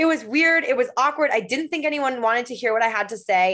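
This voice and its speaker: Against a quiet background, a woman with an American accent and a high pitch talks at a very fast pace in an energetic tone with lively intonation. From Michigan. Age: 20s. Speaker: podcaster and patient. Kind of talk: casual chat.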